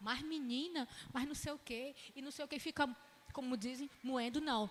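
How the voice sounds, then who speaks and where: Animated in tone, a woman with a high pitch speaks at a moderate pace. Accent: Ceará. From Ceará, northeastern Brazil. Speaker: itinerant preacher and Bible teacher. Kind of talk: sermon-style Bible class.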